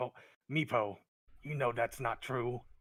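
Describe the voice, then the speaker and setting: This is a man doing a raspy, put-on character voice. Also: medium pitch for a man, fairly slow pace. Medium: actual play.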